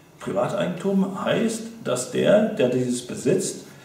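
Noticeable background noise behind a man whose pitch swings very widely. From Mecklenburg, northeastern Germany. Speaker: association member, campaigner. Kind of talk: appeal for donations to camera. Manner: impassioned, repetitive.

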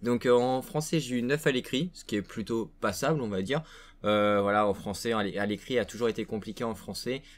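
At a moderate pace, a man speaks with ordinary pitch variation. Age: young. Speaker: gaming YouTuber. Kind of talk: casual vlog to viewers. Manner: hesitant, many fillers. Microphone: webcam.

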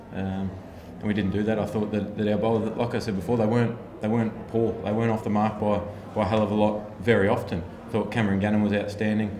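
A man talks very fast with monotone, flat intonation. Noticeable background noise runs throughout. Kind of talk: interview answer. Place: hall. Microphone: handheld.

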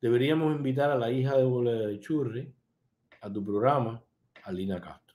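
At a fairly quick pace, a man with a dark, mellow tone speaks with big swings in loudness and ordinary pitch variation. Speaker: online show host and political commentator; live show host. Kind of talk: live-stream commentary reading viewer comments. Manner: animated. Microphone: webcam.

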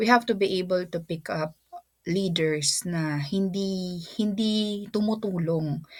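A woman speaks at a very slow pace and medium pitch, somewhat breathy. The recording is very clean, with a silent background. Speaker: teacher and vlogger. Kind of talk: casual vlog talk. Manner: halting, with fillers and repeats.

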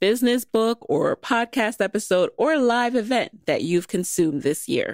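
A woman's fairly high voice with vocal fry and very wide pitch swings, in an American accent, at a fairly slow pace, dry and close with no echo on a very clean recording over a silent background. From New York (the Bronx). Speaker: podcast host. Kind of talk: interview.

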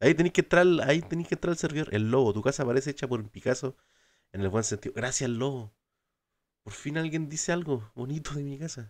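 Animated in tone, a man with a Chilean accent talks at a very fast pace and a fairly high pitch, with ordinary pitch variation and big swings in loudness. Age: 20s. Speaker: gaming streamer. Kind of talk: casual live stream chat.

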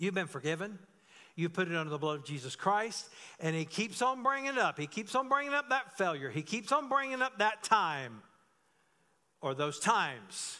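Over a quiet background, a man projects a raised, high-pitched voice with a bright, sharp tone and very wide pitch swings. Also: moderate pace. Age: 50s. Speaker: pastor. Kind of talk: sermon; church announcements. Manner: conversational. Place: church. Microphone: podium.

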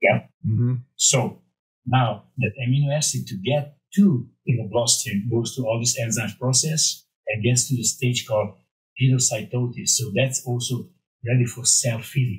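A man with a Hungarian accent, medium in pitch and somewhat breathy, at a moderate pace with ordinary pitch variation, against a quiet background. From Romania. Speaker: former bodybuilding champion and supplement developer; podcast guest. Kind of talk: casual interview. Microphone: studio mic.

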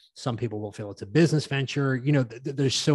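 A man's voice sounds dry with no echo, set against a quiet background. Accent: Northern Irish. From Northern Ireland. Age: 30s. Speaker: business coach to fitness professionals. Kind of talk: casual interview chat. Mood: reflective, calm. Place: home room. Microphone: studio mic.

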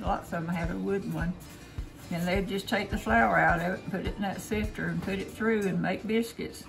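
A woman speaks at a moderate pace while clear music plays in the background. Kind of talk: casual cooking chat. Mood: relaxed reminiscing. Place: kitchen. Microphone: phone near.

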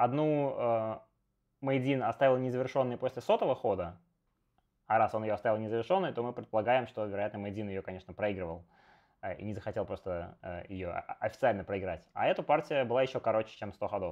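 At a medium pitch with ordinary pitch variation, a man speaks at a fairly quick pace. He takes long, frequent pauses against a quiet background. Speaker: Go streamer and teacher; Go streamer, teacher. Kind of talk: live game commentary stream. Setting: live stream with remote co-host. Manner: animated, chatty with many fillers. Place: home room. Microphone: earbuds.

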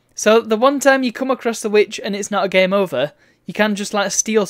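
The pitch varies in an ordinary way. It's plain reading aloud.

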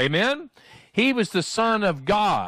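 Against a quiet background, a man speaks fairly slowly in a bright, sharp tone, with a dry sound with no echo. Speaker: pastor. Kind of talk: sermon. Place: church.

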